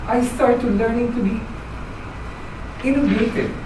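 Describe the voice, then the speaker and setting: Fairly high-pitched woman at a moderate pace, with audible room echo and noticeable background noise. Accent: Filipino. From Philippines. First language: Filipino language. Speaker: club member giving speech. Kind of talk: prepared speech. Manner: halting.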